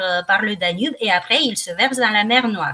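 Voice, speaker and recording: With a bright, sharp tone, a woman speaks at a medium pitch with ordinary pitch variation. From Romania, Craiova (south). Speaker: slimming practitioner. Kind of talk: radio interview. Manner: hesitant, many fillers.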